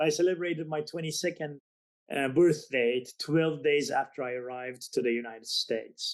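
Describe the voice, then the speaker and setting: Pitched fairly high, a man speaks at a moderate pace. His pitch varies in an ordinary way. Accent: non-native. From Azerbaijan, Iran and Turkey. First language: Azeri. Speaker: business author. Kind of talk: podcast interview. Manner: halting.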